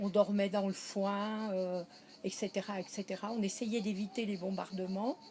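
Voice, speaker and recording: Speaking at a fairly slow pace, a woman has a medium pitch and fairly even intonation. Her voice is somewhat breathy. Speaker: interviewee recalling wartime childhood. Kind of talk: interview.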